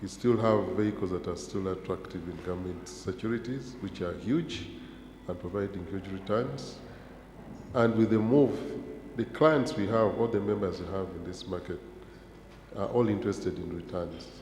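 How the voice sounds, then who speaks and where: Audible room echo surrounds a man speaking at a fairly low pitch with ordinary pitch variation. His pace is moderate, with long, frequent pauses. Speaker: pension regulator panelist. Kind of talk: conference panel discussion.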